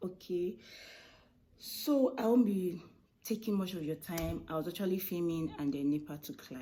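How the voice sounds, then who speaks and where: With a Nigerian accent, a soft-spoken, dark, mellow voice moves at a moderate pace with lively intonation and long, frequent pauses. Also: woman, fairly low pitch for a woman. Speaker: food vlogger and baker. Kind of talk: casual vlog talk to camera. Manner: soft-spoken, kept low.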